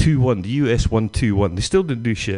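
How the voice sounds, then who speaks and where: A man with a Glaswegian accent speaks at medium pitch and a moderate pace, his tone animated and his intonation lively. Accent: Glaswegian Scottish. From Scotland, near Glasgow. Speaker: stand-up comedian. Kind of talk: stand-up. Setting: stage with audience.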